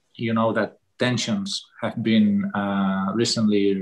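With a Catalan accent, a man speaks with fairly even intonation against a quiet background. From Catalonia. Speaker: politician. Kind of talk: webinar talk. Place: home room. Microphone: video call.

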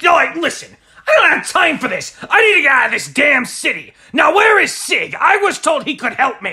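A man whines in an extremely high pitch. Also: moderate pace. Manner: irritable, whining.

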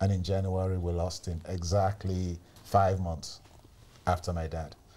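Somewhat breathy and dark, mellow in tone, a man speaks at a fairly slow pace in a very deep, low pitch with monotone, flat intonation. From Sierra Leone. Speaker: community elder; podcast guest. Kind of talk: testimony. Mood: somber, reflective storytelling. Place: studio. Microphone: lapel.

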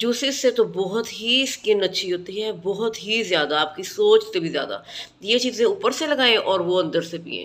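A woman's lively intonation at a fairly slow pace. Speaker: beauty vlogger. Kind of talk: casual skincare tips vlog. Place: home room. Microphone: phone near.

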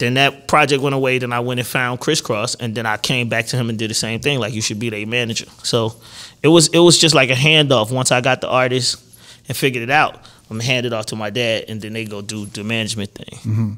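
A man's medium-pitched, very fast delivery in a slight New York accent, with fairly even intonation. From Atlanta. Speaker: record producer and songwriter; podcast guest. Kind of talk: interview answer. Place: studio. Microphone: studio mic.

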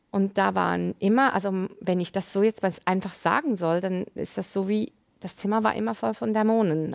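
Pitch variation is ordinary as a woman talks at a moderate pace against a quiet background. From Lebanon. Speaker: nurse and author; interview guest. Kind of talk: testimony. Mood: reflective, personal testimony. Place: studio. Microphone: lapel.

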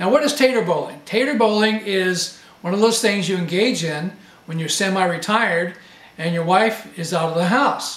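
A man speaks at a moderate pace in a high pitch, with ordinary pitch variation. Audible room echo surrounds his voice. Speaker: home video host. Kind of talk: comedic tutorial chat. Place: home room.

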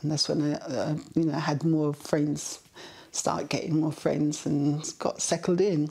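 A dark, mellow tone comes through at a fairly slow pace over a quiet background. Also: woman. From Kingston, Jamaica. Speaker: interviewee recalling childhood. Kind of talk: oral history interview answer. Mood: warm, reflective storytelling. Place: home room.

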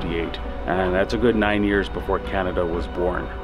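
A man with a fairly low pitch over clear music in the background. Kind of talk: interview answer. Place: street.

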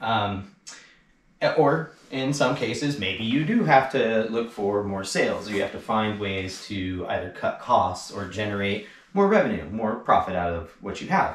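With lively intonation, a man speaks at a medium pitch and a fairly slow pace. Room echo is audible. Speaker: e-bike shop owner and industry commentator. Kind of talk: angry rant about the e-bike industry, delivered as a solo video monologue. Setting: garage, solo video. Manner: fired up and indignant, pushing each point hard; sarcastic and pointed, cutting in with laughs. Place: garage.

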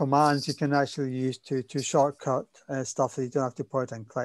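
A man speaks with a Spanish accent at a medium pitch. The sound is dry with no echo, over a quiet background. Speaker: workshop instructor. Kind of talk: tutorial. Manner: halting, many repeated words and fillers.

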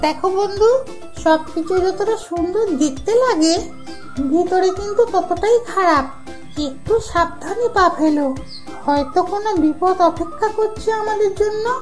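Clear music plays in the background as a cartoonish character voice speaks at an extremely high pitch and a fairly slow pace.

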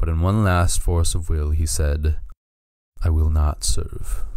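Speaking fairly slowly in a very deep, low voice, a man keeps a solemn tone and fairly even intonation. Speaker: storyteller narrating a fantasy creation myth. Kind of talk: scripted dramatic narration of a fantasy myth, with quoted speech. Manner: solemn, formal, epic storytelling tone.

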